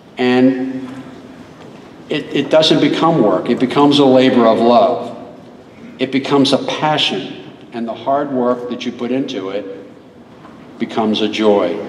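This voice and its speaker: With audible room echo and noticeable background noise, a man at a medium pitch speaks fairly slowly, leaving long, frequent pauses. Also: ordinary pitch variation. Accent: American. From Maryland, Baltimore area. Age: 70s. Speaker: local historian and author. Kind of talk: school assembly speech. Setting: school assembly hall with audience.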